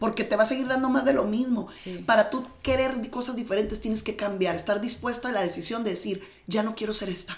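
Fairly high-pitched, somewhat breathy woman's voice at a fairly quick pace, with hardly any pauses and ordinary pitch variation. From Mexicali, Baja California, Mexico. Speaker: manifestation and mindset coach. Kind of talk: interview.

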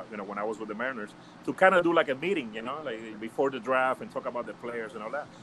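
A man with a medium pitch speaks with lively intonation. There is noticeable background noise. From Puerto Rico, later Hawthorne, California. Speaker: former baseball scout. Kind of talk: casual chat. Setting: video call.

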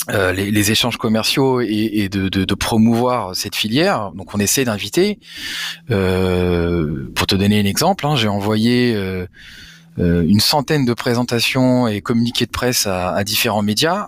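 A man with a fairly low voice and ordinary pitch variation. The recording is very clean, with a silent background. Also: fairly slow pace. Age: 30s. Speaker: cannabis industry advocate and entrepreneur. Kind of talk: interview. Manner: halting, frequent repetitions.

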